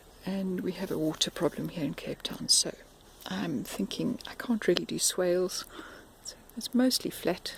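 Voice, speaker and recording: A whisper comes through against noticeable background noise. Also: moderate pace. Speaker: home gardener vlogger. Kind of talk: casual how-to video narration. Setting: outdoors in garden. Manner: hesitant, with fillers.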